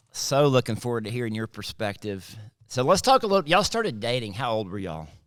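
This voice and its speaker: Speaking very fast with a Southern US accent, a man uses lively intonation at a medium pitch. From South Mississippi. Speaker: pastor and podcast co-host. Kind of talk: casual chat.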